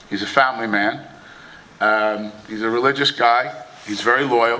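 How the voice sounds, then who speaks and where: A man with an American accent speaks at a medium pitch. Noticeable background noise and audible room echo come through. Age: 60s. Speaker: boxing promoter. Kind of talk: press conference speech. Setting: press conference.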